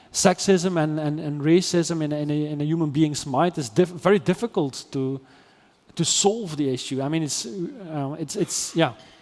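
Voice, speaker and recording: This man, with a Dutch accent, talks at a moderate pace in a fairly high pitch, his pitch varying in an ordinary way. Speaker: AI ethics philosopher. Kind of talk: interview conversation. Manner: halting, many repetitions and fillers.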